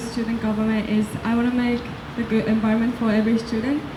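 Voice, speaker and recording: Speaking at a very fast pace in a Japanese accent, a woman with a fairly high pitch is heard amid audible room echo and noticeable background noise. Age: young. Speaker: student election candidate. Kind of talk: candidate forum answers. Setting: outdoor campus event with audience.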